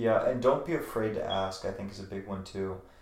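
A man with an American accent, a normal speaking voice, fairly low pitch and fairly even intonation. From Virginia, rural. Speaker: natural medicine practitioner, former model. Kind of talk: casual interview.

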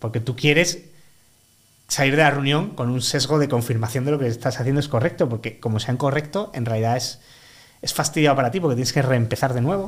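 Somewhat breathy, a man rushes along at a very fast pace in a medium pitch with ordinary pitch variation. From Málaga, Andalusia, Spain. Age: 30s. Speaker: freelance product consultant. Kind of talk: casual interview.

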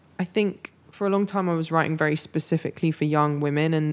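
A woman with a very deep, low pitch, a London accent and a fairly quick pace. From North London, England. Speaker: writer and moderator. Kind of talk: interview. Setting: studio.

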